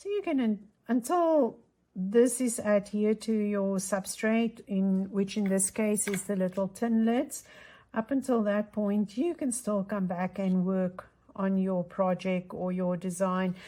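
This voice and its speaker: A woman with a dark, mellow tone and medium pitch speaks at a fairly slow pace, somewhat breathy and with ordinary pitch variation, on a very clean recording with a silent background. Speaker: craft tutorial host. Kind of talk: tutorial. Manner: casual, thinking aloud.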